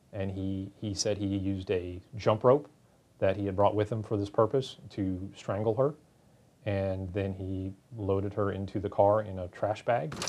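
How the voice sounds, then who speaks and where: The tone is dark and mellow. Delivery comes at a moderate pace with fairly even intonation. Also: man, fairly low pitch for a man. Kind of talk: interview answer. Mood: calm, matter-of-fact. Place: office.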